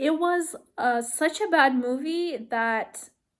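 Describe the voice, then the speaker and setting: Over a silent background in a very clean recording, a woman speaks with a non-native accent. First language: not English. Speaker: movie review vlogger. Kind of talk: casual vlog rant. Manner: halting, many fillers.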